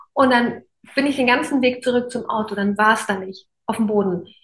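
Fairly high pitch and a somewhat breathy quality in a woman's voice. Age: 30s. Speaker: podcast host and coach. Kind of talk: casual interview chat.

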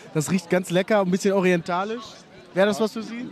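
Over noticeable background noise, a man talks at a very fast pace. His pitch is high and his intonation fairly even. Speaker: podcast host. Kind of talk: casual interviews. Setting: outdoors at a market, live recording.

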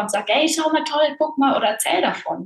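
A woman talks at a moderate pace, her voice somewhat breathy and her intonation lively. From Bavaria, Germany (small village). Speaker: voice and authenticity coach, actress. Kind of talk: casual interview.

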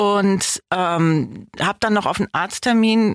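An ordinary speaking voice from a woman, medium in pitch with fairly even intonation, dry and close with no echo in a very clean recording against a silent background. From northern Germany, Osnabrück district. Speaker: actress and film festival director. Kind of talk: casual interview.

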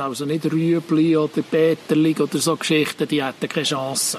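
An unremarkable speaking voice at a moderate pace. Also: man. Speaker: agronomist. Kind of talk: casual chat.

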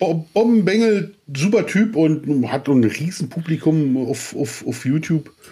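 At a fairly slow pace, a man speaks with lively intonation, a fairly high pitch and a dark, mellow tone. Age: 40s. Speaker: podcast co-host. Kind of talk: casual chat.

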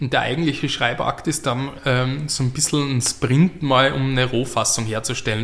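The speaker is a man with a medium pitch. He talks at a moderate pace over noticeable background noise. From Austria, Graz. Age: 30s. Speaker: playwright and novelist. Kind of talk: interview. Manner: halting, many fillers.

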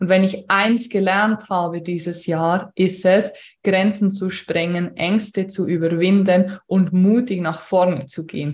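This woman talks at a very slow pace, her pitch medium. Her intonation stays fairly even. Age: 30s. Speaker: podcast host and business coach. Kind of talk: solo podcast monologue, unscripted.

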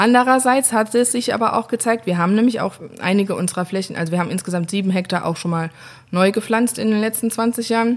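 Pitch rises and falls in an ordinary way while the words rush out very fast. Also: woman. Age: 30s. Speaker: winemaker. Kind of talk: interview. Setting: at the winery, face to face.

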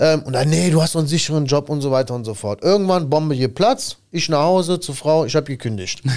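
A man speaks very fast with hardly any pauses, his pitch fairly high. His tone is animated and his intonation lively. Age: 30s. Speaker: podcast host and tradesman business owner. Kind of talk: casual chat.

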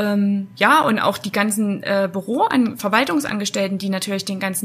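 Amid noticeable background noise, the speech runs at a moderate pace with hardly any pauses and ordinary pitch variation. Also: woman. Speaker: HR manager at a bakery. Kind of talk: interview.

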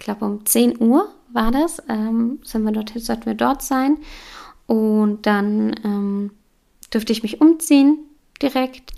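A woman speaks at a fairly slow pace. She has a fairly high pitch and an unremarkable speaking voice. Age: 30s. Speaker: yoga teacher and podcast host. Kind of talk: personal testimony monologue.

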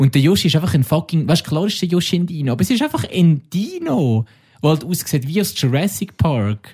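Using a plain, everyday voice, a man talks at a fairly quick pace with fairly high pitch and lively intonation. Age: 30s. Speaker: podcast co-host. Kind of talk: casual chat.

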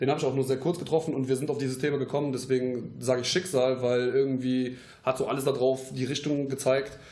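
Over noticeable background noise, a man rattles off words at a very fast pace in a monotone, flat intonation. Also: medium pitch for a man. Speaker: aspiring voice actor. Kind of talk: casual chat. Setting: home podcast studio.

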